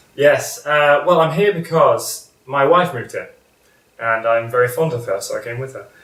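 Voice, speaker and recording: A man with a British accent speaks at a moderate pace, his loudness swinging widely. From Britain. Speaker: school vice principal. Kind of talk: interview. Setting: at his home. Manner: hesitant, many fillers.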